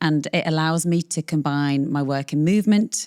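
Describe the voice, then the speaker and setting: With a British accent, a woman speaks in a very deep, low pitch with fairly even intonation on a very clean recording with a silent background. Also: dry, close sound with no echo. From northern England, the Wirral. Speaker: longevity medicine doctor. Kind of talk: interview conversation.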